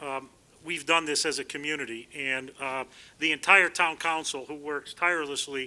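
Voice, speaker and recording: Loud and at a moderate pace, a man talks in a fairly high pitch with monotone, flat intonation on a very clean recording with a silent background. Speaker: town council chairman. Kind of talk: ceremonial speech. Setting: outdoor community event.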